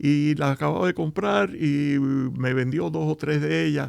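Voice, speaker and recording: This man speaks at a medium pitch and a fairly slow pace. His pitch swings very widely. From Cuba. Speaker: business founder. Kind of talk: interview. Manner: halting.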